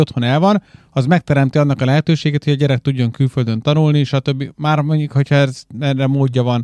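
A man talks at a very fast pace in a fairly high voice with a dark, mellow tone and fairly even intonation. The recording is very clean, dry and close, with no echo and a silent background. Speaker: podcast co-host. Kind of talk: casual chat.

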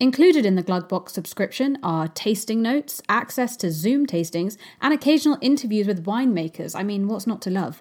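With hardly any pauses, a woman speaks at a fairly quick pace in a fairly high, somewhat breathy voice with lively intonation. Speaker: podcast host. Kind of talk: podcast interview, intro and outro. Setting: remote recording via Zoom.

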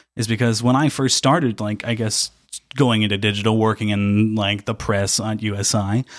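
A man speaks with a Midwestern US accent and fairly even intonation. The recording is very clean, with a silent background. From southern Indiana. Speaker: analog photographer. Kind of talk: casual interview chat.

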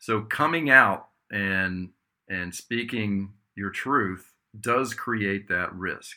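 The tone is bright and sharp with ordinary pitch variation, in a very clean recording over a silent background. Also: man. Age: 50s. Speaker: podcast host. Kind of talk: solo monologue.

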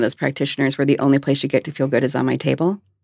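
A woman's very deep, low voice with vocal fry, very fast delivery and fairly even intonation. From US Midwest, Michigan. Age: 50s. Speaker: hypnotherapist. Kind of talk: interview. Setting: studio.

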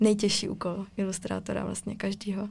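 A woman speaking at a medium pitch. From Ostrava, Czech Republic. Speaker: illustrator. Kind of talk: casual chat.

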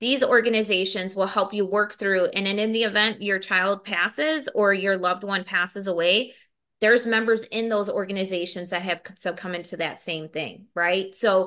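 Against a quiet background, a woman with a Wisconsin accent talks at a moderate pace, her medium-pitched voice bright and sharp and her intonation fairly even. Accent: Upper Midwest (Wisconsin) American. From Milwaukee, Wisconsin (inner-city South Side). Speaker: addiction treatment program manager. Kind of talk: interview. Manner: casual, conversational with fillers.

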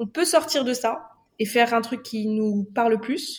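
Her pitch variation is ordinary as this woman speaks. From Morocco. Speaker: ritual celebrant, former engineer. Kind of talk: podcast interview.

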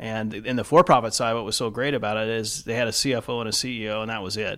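A man in a Californian accent, with medium pitch, fairly even intonation and a very fast pace. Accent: Californian American. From Southern California (East Los Angeles). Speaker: health system executive. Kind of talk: interview. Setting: in person, Laguna Beach.

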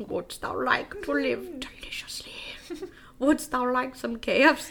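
A put-on character voice, female-sounding, at a fairly slow pace over light background noise. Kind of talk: archaic, formal. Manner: soothing, crisp, enunciated.

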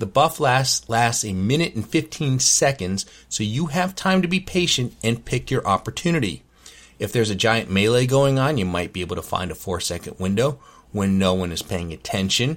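A man's medium-pitched voice with very wide pitch swings at a moderate pace, in a very clean recording over a silent background. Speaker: gaming podcast host. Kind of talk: scripted solo podcast commentary.

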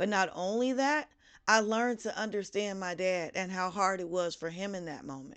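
A woman with a plain, everyday voice speaks at a fairly slow pace in a medium pitch. The background is quiet. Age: 40s. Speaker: podcast host, motivational speaker. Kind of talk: motivational monologue.

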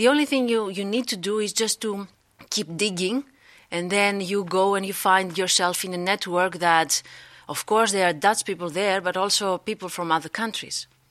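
A woman with a Greek accent, medium pitch, ordinary pitch variation and a moderate pace. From Greece. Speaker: psychologist. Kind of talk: interview. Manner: hesitant, many fillers.

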